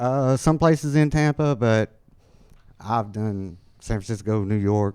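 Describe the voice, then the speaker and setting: With a moderate tempo, a man talks while his pitch varies in an ordinary way. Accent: Alabama. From Alabama. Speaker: amateur stand-up comedian. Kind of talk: stand-up; casual interview chat. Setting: stage with live audience. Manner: halting, many fillers.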